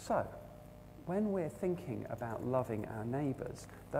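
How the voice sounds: Lively intonation runs through the delivery. It is a natural reading voice.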